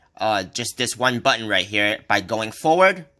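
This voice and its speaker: A man's medium-pitched voice with lively intonation and a bright, sharp tone. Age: 30s. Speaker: tech reviewer. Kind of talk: product review tutorial. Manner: casual with filler words.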